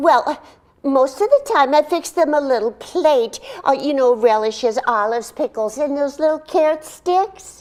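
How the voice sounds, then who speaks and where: A female-sounding voice performs a put-on character voice, pitched high for a woman. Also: moderate pace. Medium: stage play. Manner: chatty, giggly.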